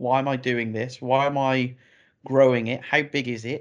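A man with a British accent speaks at a moderate pace and medium pitch. His intonation is monotone and flat, over a quiet background. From UK. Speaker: financial planning expert. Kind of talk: interview.

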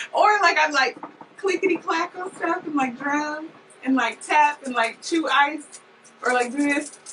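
Over noticeable background noise, a woman speaks at a fairly slow pace in a high pitch with ordinary pitch variation. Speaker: podcast host. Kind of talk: casual chat.

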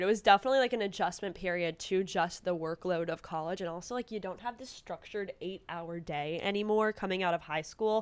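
A woman's medium-pitched voice at a fairly quick pace, with big swings in loudness, ordinary pitch variation and hardly any pauses, on a very clean recording with a silent background. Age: 20s. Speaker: student staff writer, interviewer. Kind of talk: casual chat, advice conversation. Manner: animated, chatty.

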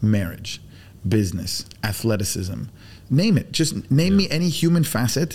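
This somewhat breathy voice moves at a moderate pace with very wide pitch swings. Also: man, medium pitch for a man. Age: 40s. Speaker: BBQ pitmaster. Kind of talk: casual chat. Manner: animated.

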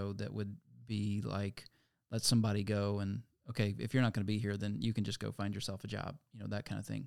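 Over a very clean recording with a silent background, a man talks at a fairly quick pace with a fairly low pitch and monotone, flat intonation. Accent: American. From Virginia, US. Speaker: pastor. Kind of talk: casual interview.

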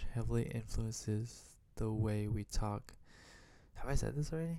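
Speaking with an American accent, a man keeps a moderate pace, a medium pitch and fairly even intonation. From United States. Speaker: vlogger. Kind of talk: personal monologue. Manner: halting; casual.

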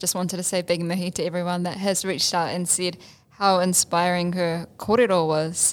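A woman speaks with a New Zealand accent. Her pitch is fairly low and her intonation fairly even. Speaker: podcast co-host, Māori language student. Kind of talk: casual chat.

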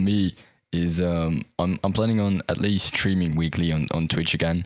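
With a Dutch accent, the speech moves at a fairly slow pace with fairly even intonation and a dry, close sound with no echo. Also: man. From Netherlands. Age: young. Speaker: esports caster and streamer. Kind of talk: casual chat. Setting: video call.

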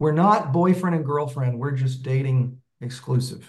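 This man's voice sits fairly high for a male and carries a somewhat breathy quality. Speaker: meetup participant seeking relationship advice. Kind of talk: casual chat.

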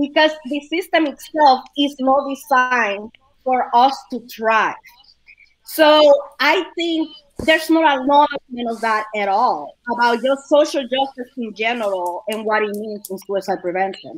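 A woman with a high voice speaks at a fairly slow pace, her intonation lively. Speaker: suicide awareness educator. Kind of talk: casual panel discussion.

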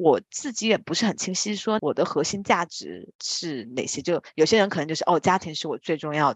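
A woman speaks at a moderate pace in an ordinary speaking voice with a fairly low pitch. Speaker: strategy consultant, podcast co-host. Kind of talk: casual chat.

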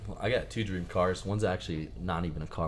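Room echo can be heard around this voice. The man talking has a very deep, low pitch. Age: 20s. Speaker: college aviation student. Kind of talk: casual chat.

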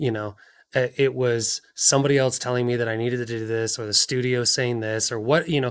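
On a very clean recording with a silent background, a man of medium pitch speaks at a moderate pace with fairly even intonation. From Washington State, US. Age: 30s. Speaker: film producer. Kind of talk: casual interview.

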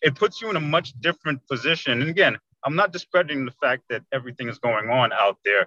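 In an American accent, a man talks at a very fast pace with a bright, sharp tone, lively intonation and a fairly high pitch, recorded with a dry, close sound and no echo. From New York City (Queens), Jamaican family. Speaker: small business owner. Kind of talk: oral history interview. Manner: hesitant, many fillers and repetitions.

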